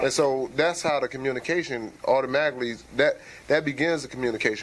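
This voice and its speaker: A man's medium-pitched voice with ordinary pitch variation and music in the background. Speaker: married man in a discussion. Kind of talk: casual group discussion. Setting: barber shop.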